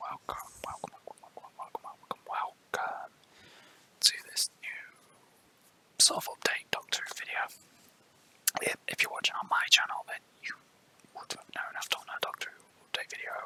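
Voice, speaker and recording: Whispering at a moderate pace, a man leaves long, frequent pauses, his loudness swinging widely, in a dry, close sound with no echo and noticeable background noise. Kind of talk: ASMR whispered talk about a personal collection. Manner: whispered, soft.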